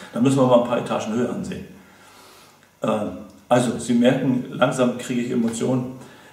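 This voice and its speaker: A man with a medium pitch speaks at a very fast pace over noticeable background noise. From Mecklenburg, northeastern Germany. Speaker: association member, campaigner. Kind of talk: appeal for donations to camera. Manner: impassioned, repetitive.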